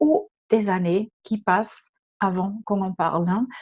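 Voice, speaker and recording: A woman with a slight German accent against a quiet background. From Germany. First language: German (speaking French). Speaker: leadership trainer and consultant. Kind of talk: webinar presentation. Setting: online webinar. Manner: hesitant, many filler sounds.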